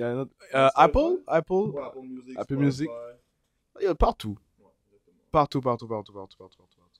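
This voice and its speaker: Lively in intonation and fairly high in pitch, a man talks at a moderate pace with big swings in loudness and long, frequent pauses, in a dry, close sound with no echo. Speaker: hip-hop interviewer. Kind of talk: casual interview questions.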